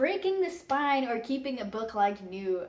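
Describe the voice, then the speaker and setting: A woman at a moderate pace with very wide pitch swings, against noticeable background noise. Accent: Flemish. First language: Dutch. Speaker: book youtuber. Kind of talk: casual vlog talk.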